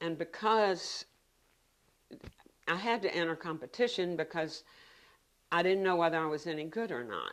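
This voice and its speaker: On a very clean recording with a silent background, a woman with a Virginia accent speaks in a fairly low pitch, leaving long, frequent pauses. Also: ordinary pitch variation, moderate pace. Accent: Virginia Southern American. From US South, Virginia (Richmond). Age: 70s. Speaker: painter. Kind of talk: interview monologue. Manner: halting.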